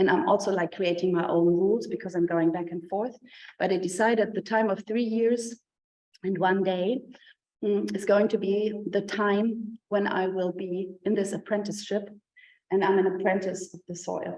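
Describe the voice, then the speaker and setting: With a German accent, a woman speaks in a dark, mellow tone at medium pitch. Her intonation is fairly even and her pace moderate. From Germany. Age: 50s. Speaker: professor and artist. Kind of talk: lecture. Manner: hesitant, many fillers.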